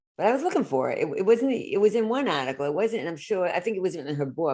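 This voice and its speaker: A woman with an American accent talks with very wide pitch swings. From United States. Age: 60s. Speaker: therapist and author. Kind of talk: solo podcast monologue. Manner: halting, many self-corrections.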